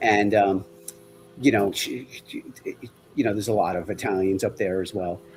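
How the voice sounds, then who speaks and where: With a New York accent, a man speaks at a fairly low pitch with fairly even intonation and long, frequent pauses. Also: moderate pace. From Long Island, New York. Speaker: guest. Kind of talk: casual chat.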